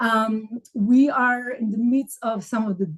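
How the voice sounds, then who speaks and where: A woman talks in an Israeli accent, her pitch fairly high. Her intonation stays fairly even, and her voice is somewhat breathy. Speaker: academic writing coach. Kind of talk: live coaching call. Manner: halting, many fillers.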